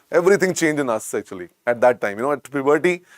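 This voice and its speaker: In a very clean recording with a silent background and a dry, close sound with no echo, a man with an Indian accent speaks in a fairly high voice with lively intonation. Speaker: medical teacher. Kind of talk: lecture. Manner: repetitive.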